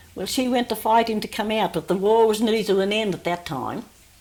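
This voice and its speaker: Moderate pace with an Australian accent. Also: woman. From New South Wales, Australia. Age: 80s+. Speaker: oral history interviewee. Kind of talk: oral history interview. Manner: halting.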